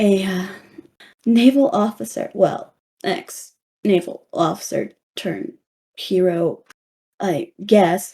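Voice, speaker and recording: In a put-on character voice, a woman sounds raspy and nervous as she speaks at a fairly slow pace. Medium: actual play. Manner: hesitant, rambling, with nervous laughs.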